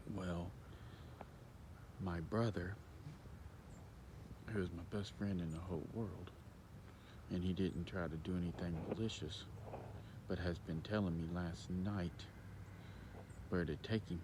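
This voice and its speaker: A man whispers, somewhat breathy, with long, frequent pauses and audible room echo. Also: fairly slow pace. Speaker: hunter vlogger. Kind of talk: casual vlog monologue. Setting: outdoors in a field. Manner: whispering.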